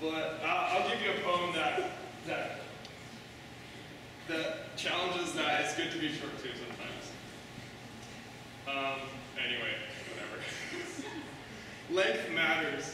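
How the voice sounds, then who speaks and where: Fairly slow, fairly even speech from a man, with strong room echo and noticeable background noise. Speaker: open mic poet. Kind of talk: poetry reading with casual intro. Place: hall.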